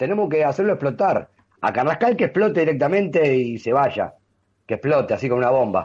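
Speaking at a fairly quick pace, a man with a fairly high pitch makes very wide pitch swings. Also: very even loudness. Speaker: football fan radio co-host. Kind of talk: casual sports talk radio. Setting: remote link.

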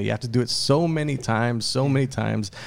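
A man talks fairly quickly in a normal speaking voice. His pitch variation is ordinary. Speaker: podcast host. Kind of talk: casual chat.

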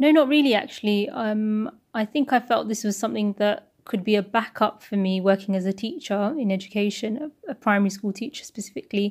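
In a British accent, a woman with a fairly high pitch and ordinary pitch variation speaks fairly quickly with hardly any pauses, recorded very cleanly against a silent background. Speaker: school teacher. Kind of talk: interview.

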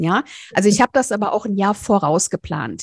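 A woman uses a normal speaking voice at a medium pitch with lively intonation and a fairly quick pace. The very clean recording has a silent background and a dry, close sound with no echo. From rural Germany. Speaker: speaker and visibility mentor. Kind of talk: interview.

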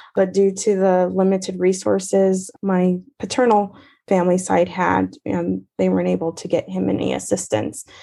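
An American accent at a moderate pace against a quiet background. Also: woman. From US West, Riverside, California. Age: 30s. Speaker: assistant professor of special education. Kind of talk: interview.

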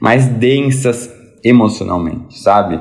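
A man at a fairly slow pace, medium pitch and ordinary pitch variation, with audible room echo. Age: 20s. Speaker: lawyer and book influencer. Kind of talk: casual chat.

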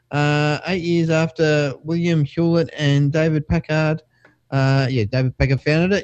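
The pitch of this man's voice runs fairly high. He talks in an Australian accent. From Perth, Western Australia. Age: 40s. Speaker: tech podcast co-host. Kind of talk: casual chat.

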